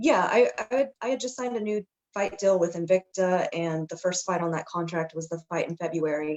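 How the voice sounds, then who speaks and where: A woman with an American accent speaks in a plain, everyday voice at medium pitch, fairly quickly, with ordinary pitch variation. The sound is dry and close with no echo. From Texas. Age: 30s. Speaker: MMA fighter. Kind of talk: interview.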